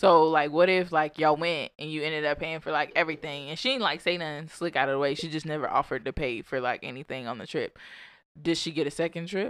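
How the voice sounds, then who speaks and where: At a very fast pace, a woman with a very deep, low pitch talks with ordinary pitch variation in a very clean recording with a silent background. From Alabama (Birmingham area). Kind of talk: casual chat.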